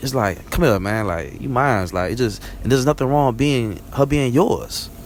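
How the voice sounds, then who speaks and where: There is noticeable background noise behind a man. He speaks with lively intonation. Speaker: vlogger. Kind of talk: casual monologue. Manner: fast; rambling, conversational.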